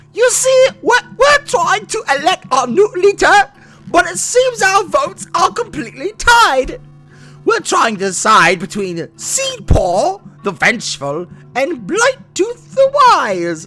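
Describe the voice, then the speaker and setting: An extremely high-pitched, put-on character voice speaks at a fairly slow pace. Faint music plays in the background. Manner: polite, putting a question.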